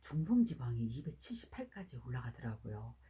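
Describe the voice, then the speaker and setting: This voice belongs to a woman. Her tempo is moderate. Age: 60s. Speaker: network marketing distributor. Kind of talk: testimony.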